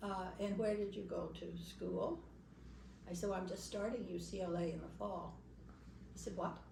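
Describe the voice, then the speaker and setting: The speaker has an American accent and keeps a moderate pace with long, frequent pauses. There is noticeable background noise. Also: woman. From Los Angeles, California. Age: 80s+. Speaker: Baha'i pioneer. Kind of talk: storytelling talk to an audience.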